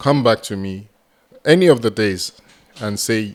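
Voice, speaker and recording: With a Nigerian accent, a man speaks at a fairly low pitch with ordinary pitch variation. His pace is fairly slow. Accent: Nigerian (Yoruba) English. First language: Yoruba. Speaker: entrepreneur and mentor. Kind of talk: podcast interview.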